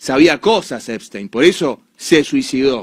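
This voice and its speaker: With a Rioplatense accent, a man speaks at a fairly slow pace in an animated tone, his intonation lively against a quiet background. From Argentina. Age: 30s. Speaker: commentator. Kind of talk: monologue commentary. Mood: indignant, sarcastic. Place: studio. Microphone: studio mic.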